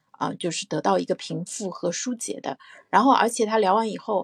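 A woman talks fairly quickly in a cheerful tone with vocal fry and ordinary pitch variation, in a dry, close sound with no echo. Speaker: parent and podcast panelist. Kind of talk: casual discussion. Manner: cheerful, laughs often.

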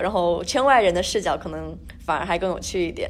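A woman races along at a very fast pace amid noticeable background noise. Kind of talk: casual chat.

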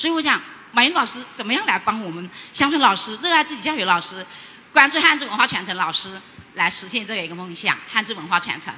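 A woman's fairly high voice over noticeable background noise, very fast, with very wide pitch swings and big shifts in loudness. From Guangxi, Liuzhou. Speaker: rural teacher. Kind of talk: audience question. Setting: stage with audience.

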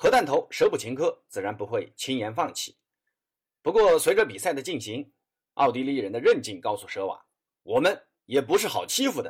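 A man speaks at a fairly quick pace with a slightly husky edge. His pitch sits in the medium range for a man and swings widely.

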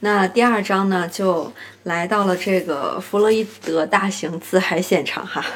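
Noticeable background noise runs behind a woman speaking at a fairly slow pace. Her pitch is medium and her intonation fairly even. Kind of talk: book review monologue. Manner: casual with many fillers.

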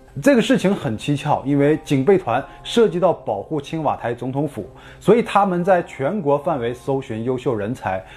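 The man talks at a moderate pace with very wide pitch swings. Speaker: true crime narrator. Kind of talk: true-crime narration. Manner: steady, grave storytelling pace, tense and dramatic; fairly formal, measured, scripted-sounding.

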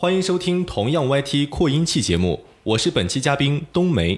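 With a very clean recording and a silent background, this man's pitch swings very widely as he talks at a moderate pace. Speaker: broadcasting student. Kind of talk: casual chat.

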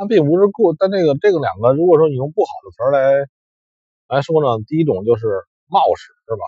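His pitch fairly high, a man talks at a fairly quick pace with very wide pitch swings and big swings in loudness. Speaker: forex trader vlogger. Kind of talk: casual monologue. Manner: halting, many fillers.

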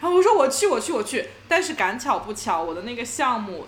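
Over noticeable background noise, a woman's voice makes very wide pitch swings. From China. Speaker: podcast co-host. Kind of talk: casual chat.

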